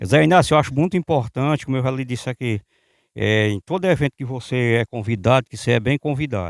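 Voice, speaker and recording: On a very clean recording with a silent background and a dry, close sound with no echo, a medium-pitched man speaks very fast with lively intonation. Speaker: local reporter. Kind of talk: interview.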